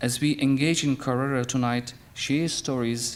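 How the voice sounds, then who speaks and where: In a Turkish accent, a man speaks with monotone, flat intonation. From Turkey. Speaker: childcare centre managing director, event speaker. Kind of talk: welcome speech. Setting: stage at dinner event with audience. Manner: halting.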